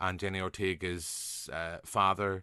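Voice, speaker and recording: Against a quiet background with dry, close sound and no echo, a man with a Northern Irish accent talks at a fairly slow pace in a fairly low pitch with a bright, sharp tone. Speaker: podcast host. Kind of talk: casual podcast conversation.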